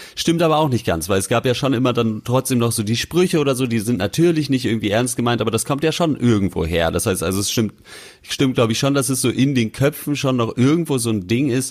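This man talks at a very fast pace with lively intonation and very even loudness. His pitch sits at medium. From western Germany. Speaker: podcast host. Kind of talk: casual chat.

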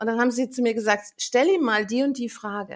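A plain, everyday voice at a fairly quick pace. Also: woman. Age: 50s. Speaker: angel healer. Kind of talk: interview, personal story.

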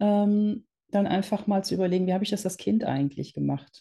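A woman with a medium-pitched, dark, mellow voice, somewhat breathy, with ordinary pitch variation against a quiet background. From Netherlands, raised in Germany. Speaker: entrepreneur, founder of a women's business network. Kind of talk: interview.

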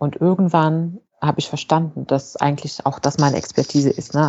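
A woman speaks at a moderate pace with a very deep, low pitch. Her intonation is fairly even. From Morocco (Fez). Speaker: engineering manager and AI expert, author. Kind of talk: interview. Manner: frequent fillers and self-repairs.

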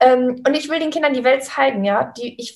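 A woman talks at a moderate pace in a somewhat breathy voice. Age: 30s. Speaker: physiotherapist turned travelling online entrepreneur. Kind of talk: interview. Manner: animated.

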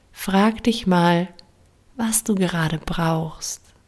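The tone is calm and soothing. The pace is very slow. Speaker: meditation guide. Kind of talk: guided meditation. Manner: slow, calm, soothing; gentle, warm, with long pauses.

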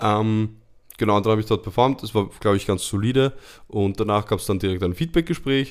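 A man talks at a fairly quick pace, his pitch varying in an ordinary way. The background is silent on this very clean recording. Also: fairly low pitch for a man. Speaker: podcast co-host and performer. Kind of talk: casual chat.

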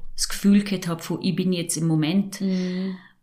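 A woman with a Vorarlberg accent speaks in a somewhat breathy, fairly low voice at a moderate pace. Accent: Vorarlberg dialect (Alemannic). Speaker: mental trainer and breathing therapist. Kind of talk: casual chat.

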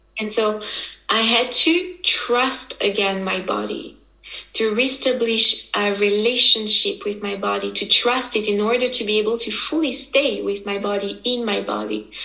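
A woman speaks at a fairly slow pace, her pitch fairly high with ordinary variation. There is noticeable background noise. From French-speaking Switzerland. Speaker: women's embodiment coach. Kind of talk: interview. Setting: video call.

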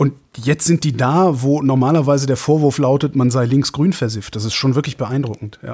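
His tone is dark and mellow. A man keeps a medium tempo and fairly even intonation. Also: medium pitch for a man. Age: 50s. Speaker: radio host. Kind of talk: casual chat.

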